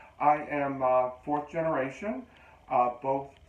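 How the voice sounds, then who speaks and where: Through noticeable background noise, a man talks with an American accent. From western Pennsylvania. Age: 60s. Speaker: psychic medium. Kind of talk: interview. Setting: studio.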